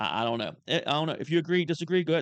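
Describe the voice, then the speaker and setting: A man talking at a very fast pace. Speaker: online commentator. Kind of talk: casual, profane. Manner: fast talker; breathes heavily.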